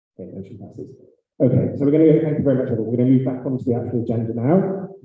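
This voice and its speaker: A man talks at a very fast pace with a medium pitch and ordinary pitch variation, his loudness swinging widely. Audible room echo surrounds the recording. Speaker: graduate student council president. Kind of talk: meeting chairing.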